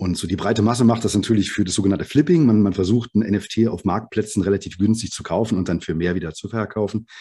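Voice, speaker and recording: Against a quiet background, a man with a fairly low pitch and a dark, mellow tone speaks at a very fast pace. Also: ordinary pitch variation. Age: 40s. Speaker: software developer and startup founder. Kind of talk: interview.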